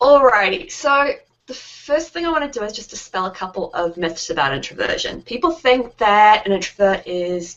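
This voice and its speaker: Speaking with a New Zealand accent, a woman with a fairly high pitch talks at a moderate pace with very wide pitch swings. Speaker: founder of a resource website for introverted business owners. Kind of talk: interview.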